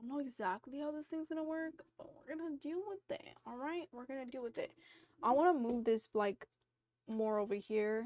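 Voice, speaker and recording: A woman with a high voice talks at a fairly quick pace with lively intonation, the sound dry and close with no echo. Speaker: streamer. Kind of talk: casual live stream chat. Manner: hesitant, filler-heavy.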